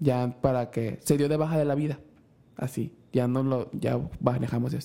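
A man speaks at a moderate pace with a dark, mellow tone and monotone, flat intonation. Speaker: podcast host. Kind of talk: casual chat.

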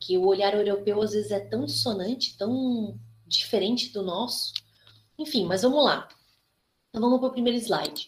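Woman with vocal fry, ordinary pitch variation and long, frequent pauses. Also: medium pitch for a woman, moderate pace. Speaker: criminology lab coordinator and host. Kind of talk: lecture. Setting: video call.

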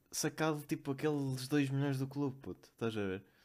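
Music in the background accompanies speech delivered at a moderate pace. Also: man. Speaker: podcast co-host. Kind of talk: casual chat.

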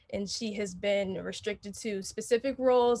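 A woman speaks at a medium pitch and a fairly quick pace. Her voice is somewhat breathy, with fairly even intonation. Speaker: university student and dancer. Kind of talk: panel discussion.

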